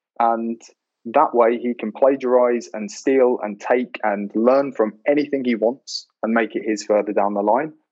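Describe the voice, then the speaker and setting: A man speaks in a normal speaking voice at a fairly slow pace, his intonation fairly even. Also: medium pitch for a man. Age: 20s. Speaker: sales professional. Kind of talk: casual chat.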